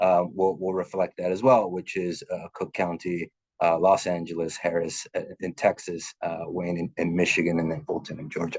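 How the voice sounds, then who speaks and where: A man speaks at a moderate pace in a very deep, low voice with fairly even intonation. The sound is dry and close with no echo, over a quiet background. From Mexico (Oaxaca), raised in US from age 5. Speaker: nonprofit executive, webinar panelist. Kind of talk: webinar presentation. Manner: halting, many fillers.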